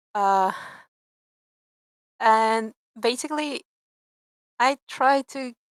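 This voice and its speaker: A woman with a Peruvian accent and fairly high pitch speaks at a very slow pace with long, frequent pauses and ordinary pitch variation, on a very clean, dry, close recording with no echo and a silent background. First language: Spanish. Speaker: 3D artist and game designer. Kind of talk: casual chat. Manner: halting.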